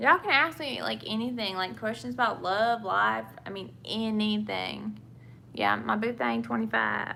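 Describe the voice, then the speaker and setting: A woman with a Southern US accent, talking at a moderate pace. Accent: Southern US (Georgia). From England. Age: 20s. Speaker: vlogger. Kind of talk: casual chat. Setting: live stream. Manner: chatty, rambling.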